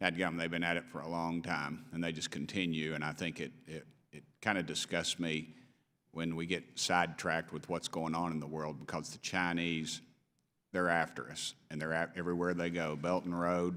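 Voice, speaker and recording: At a moderate pace, a man with a very deep, low pitch speaks in a bright, sharp tone with monotone, flat intonation. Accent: East Tennessee. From East Tennessee. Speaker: congressman. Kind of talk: committee hearing questioning. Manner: informal, off the cuff.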